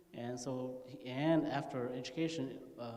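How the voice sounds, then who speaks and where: A fairly slow voice in an American accent, with audible room echo and noticeable background noise. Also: man. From rural California, US. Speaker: panelist. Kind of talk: panel discussion.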